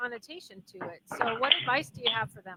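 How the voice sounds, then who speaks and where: Her pitch high and her pace fairly quick, a woman speaks with ordinary pitch variation in a dry, close sound with no echo. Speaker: radio host. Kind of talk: interview. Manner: loud.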